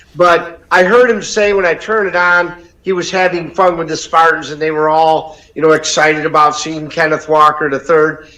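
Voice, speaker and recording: A fairly high-pitched man with an American accent, fairly even intonation, a moderate pace and hardly any pauses, over noticeable background noise. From Detroit area, Michigan. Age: 60s. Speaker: caller, sports fan. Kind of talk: call-in chat.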